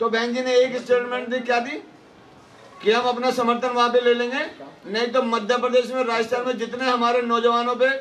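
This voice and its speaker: This man's voice is extremely high in pitch, with monotone, flat intonation. He moves at a moderate pace. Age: 60s. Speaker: party politician. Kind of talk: political rally speech. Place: hall. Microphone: handheld.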